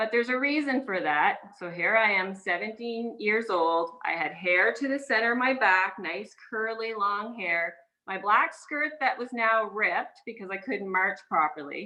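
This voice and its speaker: This woman's voice sits at a fairly high pitch with lively intonation. Her pace is moderate. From Newfoundland, Canada. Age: 40s. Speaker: military officer. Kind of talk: personal storytelling talk. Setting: video call.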